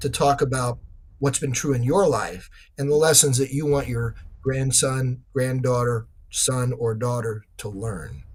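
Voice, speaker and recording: Somewhat breathy, a man's voice carries through. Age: 60s. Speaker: author. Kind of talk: interview.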